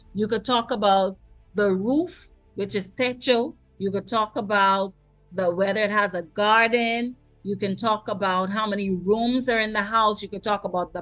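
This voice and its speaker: With music in the background, a woman talks at a moderate pace in a fairly high pitch with ordinary pitch variation. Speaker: Spanish teacher. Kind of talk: online class lesson.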